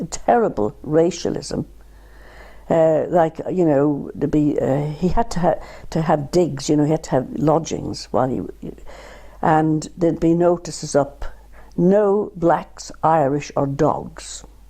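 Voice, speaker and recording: A woman speaks in a very deep, low pitch with a dark, mellow tone and ordinary pitch variation. Vocal fry is audible. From Ireland, County Carlow. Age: 70s. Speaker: retired art therapist and artist. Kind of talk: oral history interview. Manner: halting, many repetitions.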